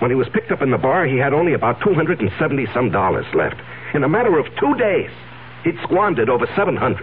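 Using a put-on character voice, a man sounds strained as he talks at a moderate pace. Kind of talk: 1970s radio drama acting. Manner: anxious, strained.

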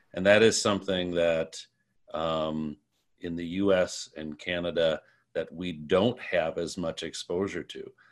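Speaking with an American accent, a man uses a very deep, low voice at a fairly slow pace. His loudness swings widely over a quiet background. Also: fairly even intonation. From US Midwest. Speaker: podcast host and improviser. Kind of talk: moderated panel discussion. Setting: video call.

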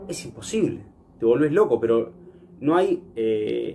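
A man talks at a moderate pace in a plain, everyday voice. His pitch sits fairly high. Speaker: radio host. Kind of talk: casual chat; scripted segment presentation. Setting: remote from home.

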